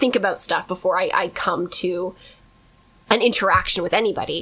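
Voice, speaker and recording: A woman speaks loudly at a medium pitch. Her tone is bright and sharp. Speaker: podcast co-host. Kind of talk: casual chat. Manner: fast.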